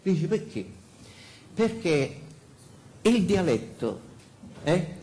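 A man talks very slowly in a high pitch, his voice making very wide pitch swings. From Sicily. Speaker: pastor. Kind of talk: sermon. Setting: church pulpit. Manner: halting, many fillers. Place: church.

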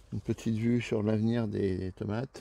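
The tone is dark and mellow, and the sound is dry with no echo. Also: man. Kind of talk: casual garden tour vlog. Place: garden. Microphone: phone near.

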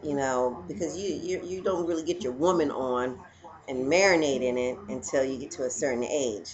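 A woman with a very deep, low pitch, moderate pace, and light background noise. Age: 40s. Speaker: vlogger. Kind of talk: casual vlog monologue. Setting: at home. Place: home room. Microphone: webcam.

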